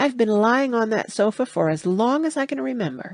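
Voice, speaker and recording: A female-sounding voice in a put-on character voice, fairly high in pitch. She talks at a moderate pace. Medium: read story. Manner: cool, terse, offhand.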